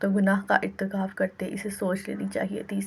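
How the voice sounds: This is a natural reading voice. It is heard as a natural reading voice throughout.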